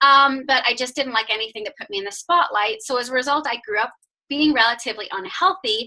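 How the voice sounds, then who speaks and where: Speaking at a fairly quick pace in an American accent, a woman uses a bright, sharp tone and lively intonation. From Northern Ireland, Belfast. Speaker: fitness coach. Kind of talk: testimony. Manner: casual, many fillers.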